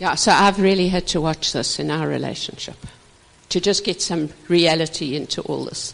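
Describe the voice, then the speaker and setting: Noticeable background noise sits under a woman talking at a moderate pace. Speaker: marriage minister. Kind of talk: marriage teaching talk. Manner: animated.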